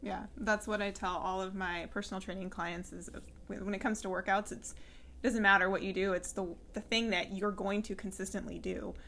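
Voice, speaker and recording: A woman's bright, sharp voice with an American accent, vocal fry and fairly even intonation. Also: medium pitch for a woman, fairly quick pace. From California, San Luis Obispo. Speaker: podcast host and personal trainer. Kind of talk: interview.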